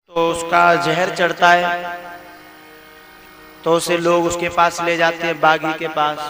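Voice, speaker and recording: Over noticeable background noise, a man with a high pitch speaks in a monotone, flat way, taking long, frequent pauses. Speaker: religious preacher. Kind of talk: religious sermon to live audience.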